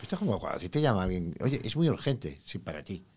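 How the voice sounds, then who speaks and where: A man is speaking. His pace is very fast. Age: 60s. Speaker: psychologist. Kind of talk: interview.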